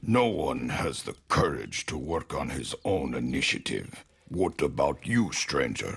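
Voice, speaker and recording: A man talks at a fairly slow speed in a put-on character voice. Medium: video game. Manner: formal, pompous.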